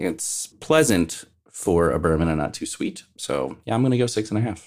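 In a very clean recording with a silent background, a man speaks with lively intonation. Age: 40s. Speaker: podcast co-host. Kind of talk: casual chat.

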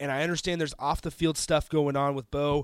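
A man speaks very fast in a fairly high voice. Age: 20s. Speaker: sports radio host. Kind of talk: sports talk radio monologue. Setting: radio studio.

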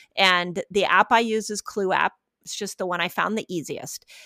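In a very clean recording with a silent background and a dry, close sound free of echo, a woman speaks at a medium pitch and a fairly slow pace with a bright, sharp tone. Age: 50s. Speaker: fasting and health expert. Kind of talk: interview.

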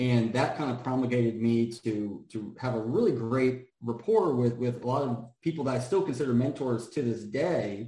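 In an American accent, a man talks at a moderate pace with hardly any pauses, using medium pitch and ordinary pitch variation. His tone is dark and mellow, and somewhat breathy. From US, Washington D.C. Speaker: local political candidate. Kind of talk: casual interview.

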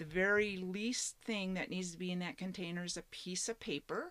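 A woman with an American accent speaks at medium pitch and a moderate pace in an unremarkable speaking voice. The recording is very clean, with a silent background. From Washington State, US Pacific Northwest. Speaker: geocaching hobbyist and solo RVer. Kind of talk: casual interview. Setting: outdoors at a state park campground.

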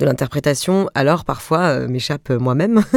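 Her voice is very deep and low, with ordinary pitch variation. The woman keeps a moderate pace. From Alsace, Mulhouse. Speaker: comedian and actress. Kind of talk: interview conversation. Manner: animated.

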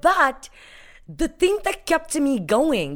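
A woman speaks in an animated tone with very wide pitch swings. The recording is very clean, the background silent. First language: not English. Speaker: guest speaker on confidence. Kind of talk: podcast interview.

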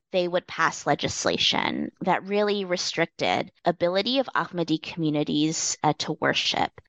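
Hardly pausing, a woman with a Canadian accent and an unremarkable speaking voice talks at a moderate pace, her pitch fairly low, her pitch variation ordinary and her loudness very even. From Canada. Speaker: political science professor. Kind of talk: academic interview.

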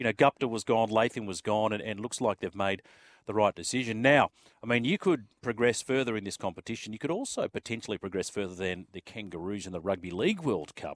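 A man with an Australian accent talks at a very fast pace in a fairly low pitch with ordinary pitch variation. The sound is dry and close with no echo, a very clean recording with a silent background. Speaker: sports radio host. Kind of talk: casual chat.

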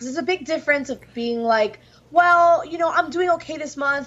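Her intonation is lively. The woman speaks fairly quickly. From New York City, Dominican family. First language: Spanish. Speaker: pro wrestler. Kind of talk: interview.

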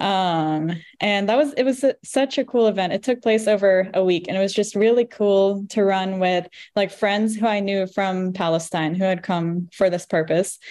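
An ordinary speaking voice from a woman with an American accent, medium pitch, ordinary pitch variation, very even loudness and a moderate pace, against a quiet background. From Virginia, US. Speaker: activist and runner. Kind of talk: casual interview.

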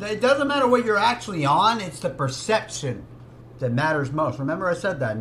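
With audible room echo and noticeable background noise, a fairly high-pitched man speaks at a moderate pace, his pitch swinging very widely. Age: 30s. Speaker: music reaction youtuber. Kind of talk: casual reaction commentary. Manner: animated.

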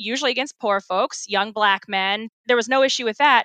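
A woman with an American accent speaks at a moderate pace, her pitch fairly high and her intonation fairly even. Her tone is bright and sharp, and the very clean recording is dry and close with no echo and a silent background. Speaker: activist, affected resident. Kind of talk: interview.

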